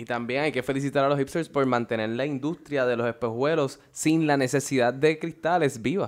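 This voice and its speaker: A man with a plain, everyday voice speaks at a moderate pace with hardly any pauses, his fairly high pitch held in a fairly even intonation. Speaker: podcast host. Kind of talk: casual chat.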